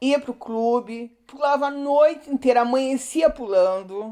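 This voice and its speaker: Fairly even intonation marks this woman's speech. She talks at a fairly slow pace. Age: 60s. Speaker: retired art teacher, interviewee. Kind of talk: interview. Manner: halting.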